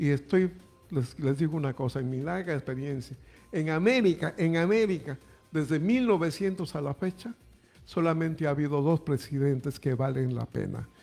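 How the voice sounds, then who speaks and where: Music plays in the background. The speech has ordinary pitch variation and a moderate pace. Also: man, fairly high pitch for a man. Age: 80s+. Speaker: radio commentator. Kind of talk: political commentary.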